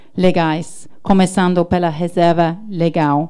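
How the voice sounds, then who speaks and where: A woman speaks very slowly in a dark, mellow tone. Her intonation stays flat and monotone. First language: English (speaking Portuguese). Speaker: diplomat, consul general. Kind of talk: prepared ceremony speech. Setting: launch ceremony with audience, livestreamed. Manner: halting, stumbles on words.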